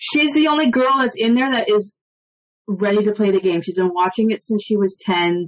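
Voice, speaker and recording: A woman with a Canadian accent and an ordinary speaking voice, fairly high in pitch, with lively intonation, very even loudness and a moderate pace. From Toronto, Canada. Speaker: former reality show contestant. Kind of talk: casual chat.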